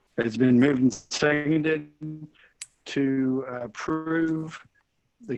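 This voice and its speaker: A man's fairly high-pitched voice at a very slow pace, with music in the background. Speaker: board president chairing meeting. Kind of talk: formal board meeting proceedings. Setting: online video meeting. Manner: slow, dragging audio.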